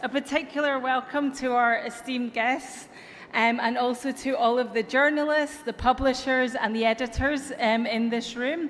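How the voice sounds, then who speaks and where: With an American accent, a woman speaks at a high pitch and moderate pace. Her intonation is monotone and flat, with noticeable background noise. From Europe. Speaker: tech company executive. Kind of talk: conference keynote speech. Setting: stage with audience.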